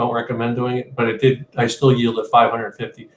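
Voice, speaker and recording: A man speaks at a medium pitch. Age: 60s. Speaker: trader. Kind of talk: trading webinar screen-share walkthrough. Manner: halting, many fillers and repeats.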